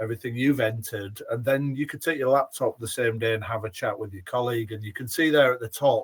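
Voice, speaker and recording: With a Yorkshire accent, a man rattles off words at a very fast pace with hardly any pauses, his medium-pitched voice somewhat breathy, his intonation fairly even and his loudness swinging widely. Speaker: former head teacher, education software presenter. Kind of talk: webinar product demonstration. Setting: online webinar.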